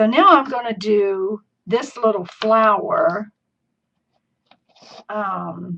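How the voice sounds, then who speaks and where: A woman speaks with an American accent at a fairly high pitch and ordinary pitch variation. Her pace is very slow, with long, frequent pauses. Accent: Southern US, comes out at times. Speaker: crafting video host. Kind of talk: live craft tutorial. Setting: live stream. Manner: chatty.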